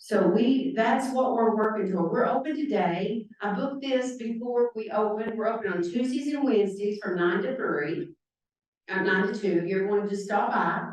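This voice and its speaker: A woman's fairly high-pitched voice at a moderate pace, with audible room echo. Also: ordinary pitch variation. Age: 60s. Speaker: hairdresser and nonprofit founder. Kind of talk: talk to a club audience with Q&A. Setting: club meeting with audience.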